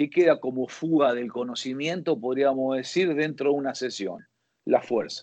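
Fairly high in pitch, a man speaks at a moderate pace with ordinary pitch variation. He has an ordinary speaking voice. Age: 50s. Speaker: football fitness coach. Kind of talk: interview.

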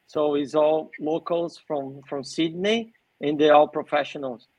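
Speaking at a very slow pace, a man keeps ordinary pitch variation. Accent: Portuguese. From Brazil, São Paulo. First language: Portuguese. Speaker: sports event organizer. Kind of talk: podcast interview.

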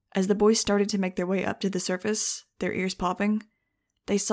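The background stays quiet while a speaker reads aloud in a natural voice.

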